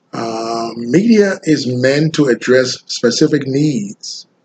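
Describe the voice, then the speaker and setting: A man with a Liberian accent talks with ordinary pitch variation. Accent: deep Liberian West African. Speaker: graduate student. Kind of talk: class presentation. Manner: slow; sounds like reading.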